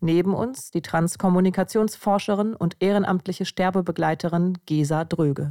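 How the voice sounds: In a very clean recording with a silent background and a dry, close sound with no echo, a woman speaks at a moderate pace in a fairly low, dark, mellow voice with fairly even intonation.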